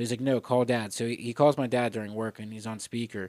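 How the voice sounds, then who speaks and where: On a very clean, dry, close recording with no echo and a silent background, a man with an American accent speaks at a medium pitch with fairly even intonation. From Pittsburgh area, US (Etna, PA). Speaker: comedian and podcaster. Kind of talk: casual chat.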